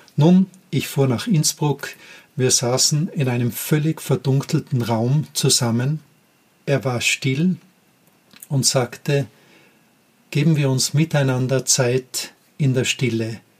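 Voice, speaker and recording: A man at a fairly high pitch, very slow, with long, frequent pauses, ordinary pitch variation and very even loudness. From Austria, Tyrol. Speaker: podcast host, former teacher. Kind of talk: personal storytelling monologue.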